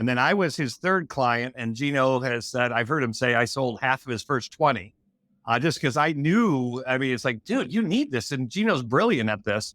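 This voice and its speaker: A man's medium-pitched voice, with ordinary rises and falls, sits on a very clean recording with a silent background. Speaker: entrepreneur and author. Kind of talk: casual chat. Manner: fast; animated.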